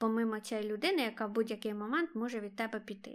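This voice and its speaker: A woman's unremarkable speaking voice, fairly high in pitch and at a fairly quick pace, on a very clean recording with a silent background. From Ukraine, Kharkiv. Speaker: podcast co-host. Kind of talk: casual chat.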